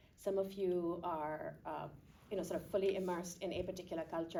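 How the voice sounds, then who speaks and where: Dark and mellow, a woman's fairly low voice moves at a fairly quick pace. Room echo is audible. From Pakistan. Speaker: panel moderator. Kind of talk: panel Q&A.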